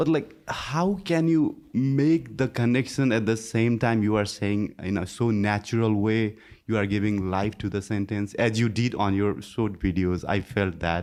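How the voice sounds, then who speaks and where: A man with a non-native accent and a fairly low pitch talks at a fairly slow pace with hardly any pauses, very even loudness and ordinary pitch variation, against a quiet background. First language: not English. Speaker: student. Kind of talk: audience question. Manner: halting.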